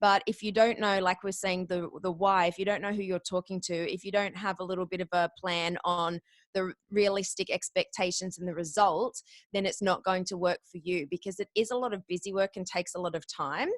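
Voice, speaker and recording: Energetic in tone, a woman with an Australian accent talks at a fairly quick pace. The sound is dry and close, with no echo. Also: medium pitch for a woman. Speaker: podcast guest booker and former radio announcer. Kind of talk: interview.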